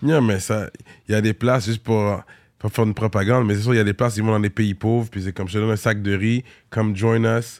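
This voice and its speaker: A man's fairly low, monotone, flat voice at a very fast pace, dry and close with no echo. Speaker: podcast host. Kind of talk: casual chat.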